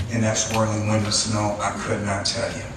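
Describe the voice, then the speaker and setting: Noticeable background noise behind a man in an American accent, at a moderate pace. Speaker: storyteller. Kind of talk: live storytelling performance.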